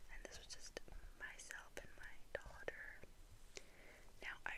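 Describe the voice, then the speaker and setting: A woman whispers with an American accent over noticeable background noise. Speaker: ASMR creator. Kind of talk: ASMR storytelling to camera, soft whisper. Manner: whispered, soft-spoken.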